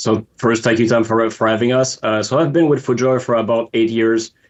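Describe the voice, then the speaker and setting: This man talks with a Montreal accent. His pitch sits in the medium range. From Quebec, Montreal. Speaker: footwear designer. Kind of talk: interview.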